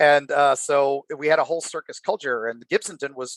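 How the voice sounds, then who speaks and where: Speaking in an ordinary speaking voice with an American accent, a man keeps a moderate pace, his fairly high pitch showing ordinary variation in a dry, close sound with no echo. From Florida, USA. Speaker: horror author and guest. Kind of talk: casual storytelling in a podcast interview.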